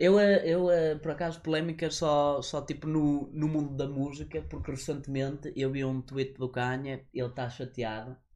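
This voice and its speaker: A man's fairly high voice at a moderate pace with hardly any pauses, against a quiet background. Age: 20s. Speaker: podcast co-host. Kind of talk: casual chat. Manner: animated.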